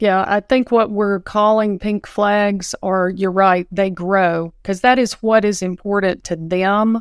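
With a Southern US accent, a woman speaks very slowly at medium pitch, with fairly even intonation and hardly any pauses. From Nashville, Tennessee, US South. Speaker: dental office manager. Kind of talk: casual panel discussion. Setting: video call.

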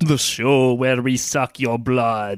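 A man puts on a character voice at a medium pitch. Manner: mock-sinister, joking.

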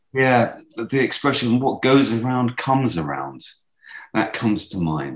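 Speaking at a moderate pace with a British accent, a man swings his pitch very widely. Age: 60s. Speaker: former war correspondent. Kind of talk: interview.

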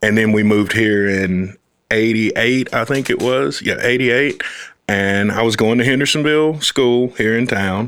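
Delivered at a moderate pace with an American accent, an ordinary speaking voice carries very even loudness and ordinary pitch variation. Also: man, medium pitch for a man. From US South, Fort Valley, Georgia. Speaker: uncle of the host, father. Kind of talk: casual conversation.

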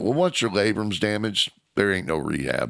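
A man talks at a fairly quick pace in a fairly low voice with vocal fry and lively intonation. The recording is very clean, with a silent background. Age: 50s. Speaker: former wrestler. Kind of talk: casual chat.

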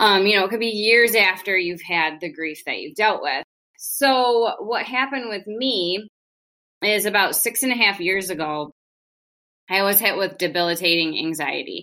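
Ordinary pitch variation, a bright, sharp tone and a moderate pace. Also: woman, medium pitch for a woman. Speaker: life coach and hairstylist. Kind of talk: casual interview conversation. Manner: warm, calm demeanor.

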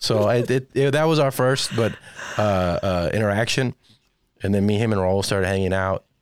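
A man with an ordinary speaking voice, fairly low in pitch with ordinary variation, an American accent and a moderate pace. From Texas, San Antonio. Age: 30s. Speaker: stand-up comedian and podcast producer. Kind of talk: casual interview chat.

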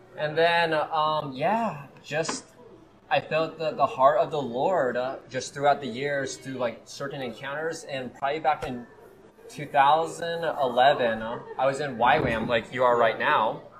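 Over noticeable background noise, a man with an American accent talks at a fairly slow pace. His pitch is fairly high, with ordinary variation. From US Midwest, Kansas City. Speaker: evangelist. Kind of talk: casual interview. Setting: live in a cafe. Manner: animated.

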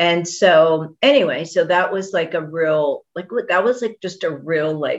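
With an American accent, a woman talks at a fairly slow pace in a plain, everyday voice, her pitch fairly low. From Texas. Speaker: physician. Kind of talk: interview.

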